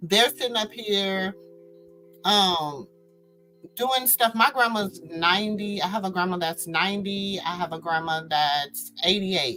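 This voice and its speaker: A woman's fairly slow speech with music in the background. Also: medium pitch for a woman, ordinary pitch variation. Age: 40s. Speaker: commentary channel host. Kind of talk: casual commentary vlog. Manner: animated.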